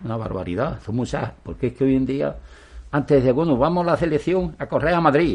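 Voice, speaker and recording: A man speaks with very wide pitch swings. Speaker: former pro cyclist and cycling federation official. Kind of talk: interview. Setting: outdoors on the street. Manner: halting.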